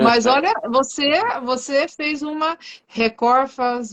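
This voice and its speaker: The woman's pace is very slow. She varies her pitch in an ordinary way. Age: 50s. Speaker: livestream host. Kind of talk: casual chat. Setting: live stream.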